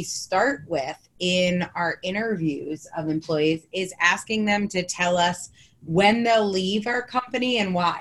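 A woman speaks at a fairly slow pace with hardly any pauses and lively intonation. Hers is a plain, everyday voice. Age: 40s. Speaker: business founder and book coach. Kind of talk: interview.

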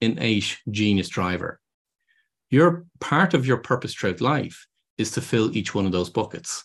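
In a quiet background, a man with an Irish accent speaks at a medium pitch with lively intonation. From Ireland. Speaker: business consultant. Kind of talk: interview. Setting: remote call.

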